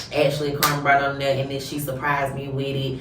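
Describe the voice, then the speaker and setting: There is noticeable background noise and audible room echo as a woman speaks with a Georgia accent. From US South, Georgia. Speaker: podcast host. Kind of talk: casual chat. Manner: animated.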